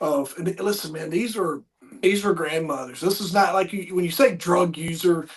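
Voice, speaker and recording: A man is speaking fairly quickly. Background noise is noticeable throughout. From Southwest Virginia. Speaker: podcast host. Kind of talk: casual interview chat. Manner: halting, many fillers.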